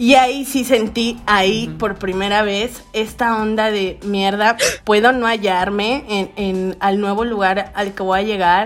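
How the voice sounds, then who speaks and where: A woman with an unremarkable speaking voice talks at a fairly slow pace with hardly any pauses, her medium pitch held in fairly even intonation. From Veracruz, Mexico (Xalapa and Puerto de Veracruz). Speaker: podcast co-host. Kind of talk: casual chat.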